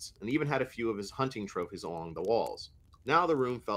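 An unforced reading voice is heard. Its intonation moves in a lively way.

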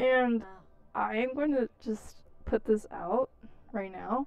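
A woman's slow, fairly high voice with vocal fry and ordinary pitch variation

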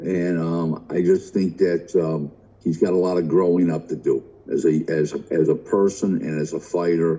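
A man speaks with a very deep, low pitch. His tone is dark and mellow. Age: 60s. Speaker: businessman and boxing commentator. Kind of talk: casual debate.

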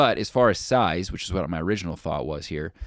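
A man with an ordinary speaking voice talks at a fairly quick pace with lively intonation. The sound is dry with no echo, over a quiet background. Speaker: podcaster reviewing microphones. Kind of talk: product review commentary. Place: studio. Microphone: studio mic.

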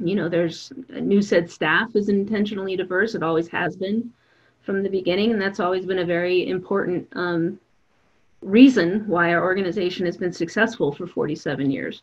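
In a normal speaking voice, a woman talks at a moderate pace and medium pitch with an American accent and ordinary pitch variation. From Denver, Colorado. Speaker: nonprofit CEO and festival producer. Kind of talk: panel discussion.

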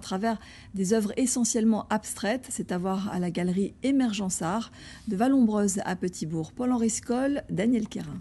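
The voice is somewhat breathy with a dark, mellow tone. Its pitch varies in an ordinary way at a moderate pace. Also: woman. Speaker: news anchor. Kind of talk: news reading. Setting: studio. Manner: formal. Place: studio. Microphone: lapel.

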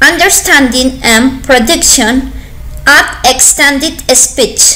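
A woman's raised, projected voice, high in pitch, very slow, with ordinary pitch variation. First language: Spanish. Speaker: university language student. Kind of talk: academic presentation read aloud. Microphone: webcam.

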